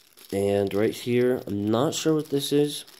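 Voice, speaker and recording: A man speaks at a fairly slow pace in a dark, mellow tone. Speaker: product reviewer. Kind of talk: unboxing narration.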